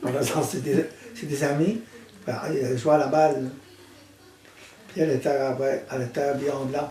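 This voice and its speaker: A man talks at a moderate pace in a fairly high voice, leaving long, frequent pauses. The room echo is audible and the background noise is noticeable. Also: ordinary pitch variation. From New Brunswick, Acadian Peninsula. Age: 80s+. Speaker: retired construction worker. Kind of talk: casual interview.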